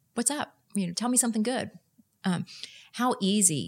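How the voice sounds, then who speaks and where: A woman with a Texan accent talks at a fairly quick pace. Her voice is somewhat breathy, with lively intonation. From Texas. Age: 50s. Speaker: nonprofit executive director. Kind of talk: casual interview.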